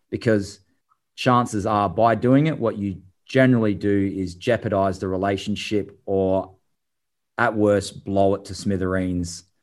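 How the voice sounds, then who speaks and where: Against a quiet background, a man with an Australian accent talks at a fairly slow pace in a fairly low pitch. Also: fairly even intonation. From Adelaide, South Australia. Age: 30s. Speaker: former tennis player and tennis coach. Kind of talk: interview. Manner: halting.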